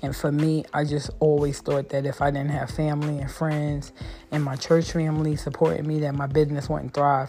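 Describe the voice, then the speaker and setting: A woman's very deep, low voice, flat and monotone, over noticeable background noise. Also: moderate pace. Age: 40s. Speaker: podcast host. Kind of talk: solo podcast monologue.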